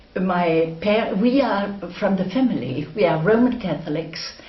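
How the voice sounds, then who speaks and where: A woman speaks very slowly at medium pitch with lively intonation. Noticeable background noise and audible room echo are present. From northwest Germany. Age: 80s+. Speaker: war-era eyewitness. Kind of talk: oral history interview. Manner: halting.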